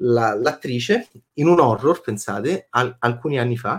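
A man is speaking. His pace is moderate. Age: 40s. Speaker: film critic. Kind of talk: casual chat. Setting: live stream. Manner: animated.

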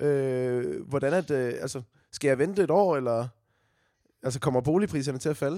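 In a very clean recording with a silent background, a man with a normal speaking voice and fairly high pitch talks at a fairly quick pace with ordinary pitch variation. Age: 20s. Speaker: podcast host, radio presenter. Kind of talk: casual chat. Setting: recording from home.

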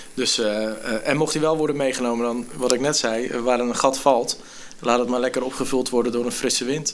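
Audible room echo surrounds a man talking at a moderate pace, his medium-pitched voice held to fairly even intonation. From Netherlands, Gorinchem. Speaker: youth care worker and spoken word poet. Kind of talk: casual chat.

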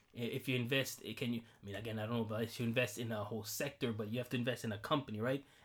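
Very fast and somewhat breathy, a man speaks at a medium pitch with monotone, flat intonation. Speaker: podcast co-host. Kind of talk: casual chat.

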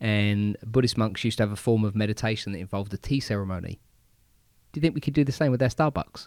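Speaking very fast with an English accent, a man has a fairly low pitch and ordinary pitch variation. The sound is dry and close with no echo, the recording very clean and the background silent. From England. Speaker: podcast co-host. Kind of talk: casual chat.

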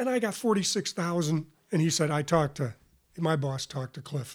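The man's voice sits fairly high in pitch. It sounds somewhat breathy. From western New York. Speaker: retired university athletics academic administrator. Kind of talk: casual interview.

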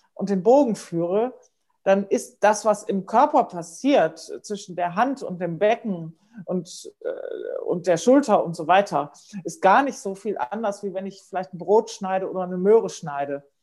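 With a dark, mellow tone, a woman speaks with lively intonation and big swings in loudness. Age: 50s. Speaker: music professor and Feldenkrais teacher. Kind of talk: casual interview. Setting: podcast recording.

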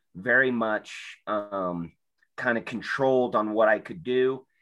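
A medium-pitched man's voice with an American accent, ordinary pitch variation and a fairly slow pace against a quiet background. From Utah, Salt Lake area. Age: 30s. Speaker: person in addiction recovery. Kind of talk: personal testimony. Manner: hesitant, many filler ums.

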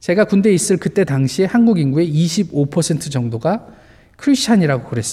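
A man with a high pitch, very wide pitch swings and a dark, mellow tone, at a fairly slow pace. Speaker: pastor. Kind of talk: sermon.

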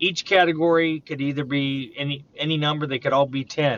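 The speaker uses a normal speaking voice at a moderate pace. Intonation stays fairly even. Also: man. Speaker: podcast host. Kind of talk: casual interview conversation. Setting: phone call.

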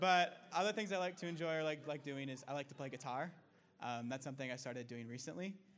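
Lively intonation at a fairly quick pace, in an American accent. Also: man. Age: 20s. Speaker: discipleship student. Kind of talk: testimony.

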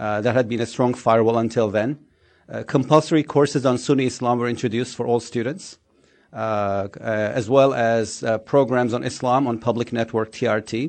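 A man with a Turkish accent speaks at a fairly quick pace, medium in pitch and fairly even in intonation. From Turkey, Istanbul. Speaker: think tank scholar. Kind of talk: panel talk.

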